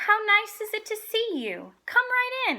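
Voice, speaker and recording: A woman's squeaky put-on character voice at an extremely high pitch, at a fairly slow pace. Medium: read story.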